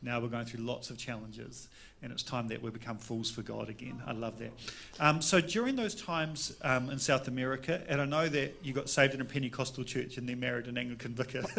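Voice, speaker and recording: Speaking very fast with a New Zealand accent, a man uses a bright, sharp, medium-pitched voice with ordinary pitch variation. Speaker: pastor. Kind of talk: interview during church service. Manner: casual, playful. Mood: warm, relaxed. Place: church. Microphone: handheld.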